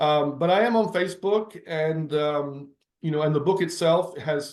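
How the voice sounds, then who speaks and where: A man talks at a fairly high pitch. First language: Italian. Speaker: novelist. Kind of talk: interview. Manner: halting.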